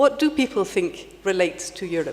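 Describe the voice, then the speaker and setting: An Irish accent at a moderate pace with ordinary pitch variation, amid noticeable background noise. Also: woman. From Ireland. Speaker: heritage panel member. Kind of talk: panel discussion. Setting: conference stage with audience. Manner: halting.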